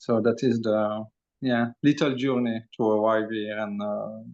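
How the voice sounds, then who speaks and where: The speaker has a French accent and fairly even intonation. The background is quiet. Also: man. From Belgium. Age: 40s. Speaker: energy healer and channeler. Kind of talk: interview testimony. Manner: hesitant, many fillers.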